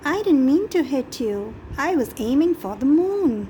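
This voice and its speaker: With clear background noise, a woman performs a put-on character voice, high in pitch, at a moderate pace. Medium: read story.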